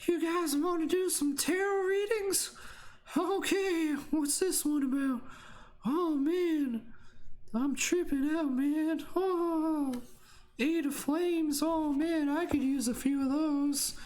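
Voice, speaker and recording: A high, put-on character voice moves at a fairly slow pace with audible echo. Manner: laid-back, stoned.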